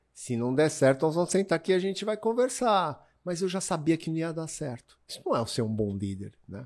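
On a very clean recording with a silent background, a man speaks at a moderate pace. His fairly high voice has very wide pitch swings. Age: 50s. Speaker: water sports event founder. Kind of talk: casual interview chat. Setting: in person studio.

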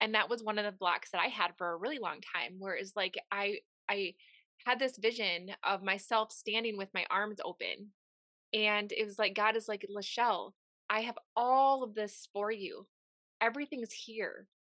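Spoken at a moderate pace with a bright, sharp tone and fairly even intonation, the voice has a dry, close sound with no echo against a quiet background. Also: woman, fairly high pitch for a woman. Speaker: podcast host. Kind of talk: interview conversation, warm and motivational.

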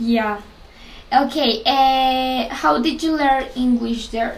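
A woman with a Spanish accent speaks at a high pitch with ordinary pitch variation, with audible room echo and noticeable background noise. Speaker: podcast host. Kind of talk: interview. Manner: halting.

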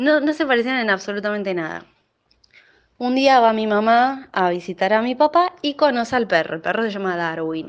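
The speaker has a Rioplatense accent. The intonation is lively. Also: woman, fairly high pitch for a woman, moderate pace. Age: 30s. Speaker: listener sharing a personal story. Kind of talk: personal anecdote.

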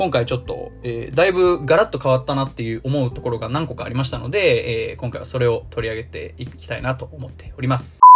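Over music in the background, a man talks very fast with hardly any pauses. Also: big swings in loudness. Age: 20s. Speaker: podcast host. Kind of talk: solo podcast talk. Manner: many filler words (えー).

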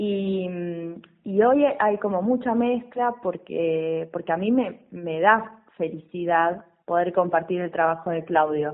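Words arrive very slowly, and the pitch moves with ordinary variation. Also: woman, fairly low pitch for a woman. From western Buenos Aires province, Argentina. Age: 30s. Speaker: stage actress and theatre teacher. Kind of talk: radio interview.

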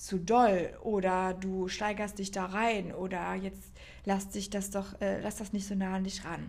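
With audible room echo, a woman speaks at a medium pitch in a somewhat breathy voice with monotone, flat intonation. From northern Germany, Baltic coast. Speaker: podcast host. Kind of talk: casual monologue. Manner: unscripted, chatty.

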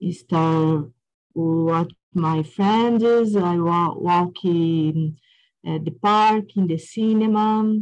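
Speaking with a Portuguese accent, a woman has a dark, mellow tone and a fairly low pitch, with fairly even intonation. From São Paulo, Brazil. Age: 50s. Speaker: English learner. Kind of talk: casual chat. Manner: halting.

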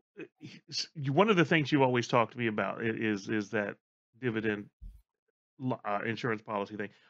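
At a fairly quick pace, a man with an unremarkable speaking voice and medium pitch talks with ordinary pitch variation and big swings in loudness, in a dry, close sound with no echo. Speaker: producer filling in as host. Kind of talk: unscripted casual conversation.

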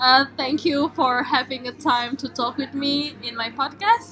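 A woman talks very slowly in a high voice with an Indonesian accent. Background noise is noticeable throughout. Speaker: podcast host and graduate student. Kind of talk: casual interview.

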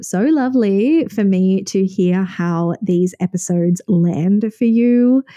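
At a very slow pace, a woman with a dark, mellow tone speaks with ordinary pitch variation. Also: dry, close sound with no echo. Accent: Australian. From Sydney, Australia. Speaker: podcast host and wellness coach. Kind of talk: solo podcast monologue.

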